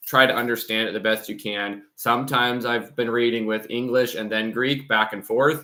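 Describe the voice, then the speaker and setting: Medium-pitched male speech, monotone with flat intonation. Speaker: channel host reading Greek church texts. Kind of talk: casual talk to camera about channel plans. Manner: many fillers and repeated words.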